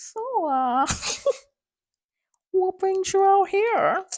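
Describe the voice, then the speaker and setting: A put-on character voice at an extremely high pitch, in a Minnesota accent. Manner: exaggerated, playfully bad accent.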